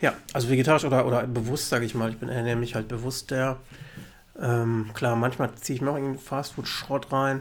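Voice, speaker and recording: Speech comes at a fairly quick pace with monotone, flat intonation. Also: man, medium pitch for a man. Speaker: podcast co-host. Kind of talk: casual chat.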